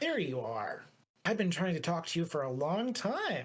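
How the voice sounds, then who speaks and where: A put-on character voice at middle pitch and a moderate pace. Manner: familiar, relieved to reach someone.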